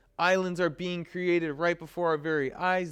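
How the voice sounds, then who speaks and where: The recording is very clean, with a silent background. A man speaks in an animated tone at high pitch. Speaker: college instructor. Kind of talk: lecture.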